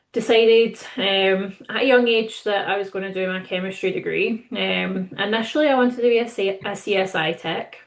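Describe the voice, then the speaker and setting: A woman speaks with a Scottish accent at a moderate pace. Her pitch varies in an ordinary way, and she hardly pauses at all. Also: medium pitch for a woman. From Scotland. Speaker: distillery manager. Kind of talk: webinar panel self-introduction.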